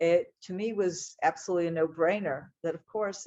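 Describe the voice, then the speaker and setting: With an American accent, a woman in an unremarkable speaking voice talks at a moderate pace with ordinary pitch variation. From United States. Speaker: speaker on Israel and the Bible. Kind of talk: talk to an audience. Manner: conversational, with fillers.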